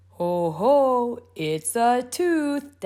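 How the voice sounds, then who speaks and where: A female-sounding voice takes on a put-on character voice at a fairly high pitch. Its pitch swings very widely. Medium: read story. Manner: jovial, laughing.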